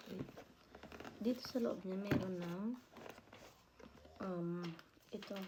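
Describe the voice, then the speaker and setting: Against noticeable background noise, a soft-spoken woman whispers. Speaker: vlogger. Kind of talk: unboxing vlog. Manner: whispering.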